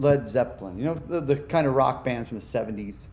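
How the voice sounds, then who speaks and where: A man uses a normal speaking voice at a medium pitch, in an American accent. He keeps a moderate pace with lively intonation. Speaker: musician. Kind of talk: interview.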